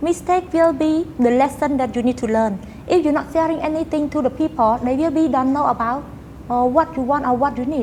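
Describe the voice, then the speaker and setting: A woman talks at a fairly quick pace with a high pitch and ordinary pitch variation. Noticeable background noise can be heard. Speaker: university student and company employee. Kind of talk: interview conversation. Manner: halting, with frequent fillers.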